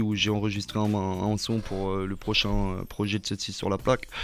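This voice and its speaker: The speaker is a man with a fairly low pitch. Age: 20s. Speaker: rapper. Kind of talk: interview. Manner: hesitant, many fillers.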